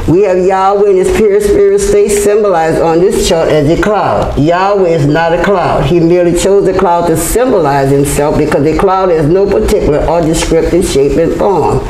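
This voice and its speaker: A woman speaks with hardly any pauses and very even loudness, with audible room echo and light background noise. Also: ordinary pitch variation, moderate pace. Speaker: religious teacher. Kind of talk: sermon-like lecture. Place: hall. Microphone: camera far.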